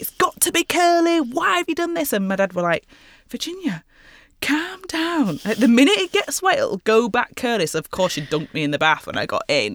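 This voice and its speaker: The speaker has a Yorkshire accent and a fairly quick pace, with very wide pitch swings. The recording is very clean, with a silent background. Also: woman, high pitch for a woman. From northern England, West Yorkshire (Mirfield near Leeds). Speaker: fashion designer and artist. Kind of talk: casual interview.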